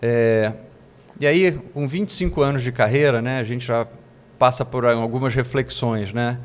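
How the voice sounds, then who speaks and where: The man speaks at a moderate pace. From Ceará, Brazil (Fortaleza), later Rio de Janeiro. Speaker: investment executive. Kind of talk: interview.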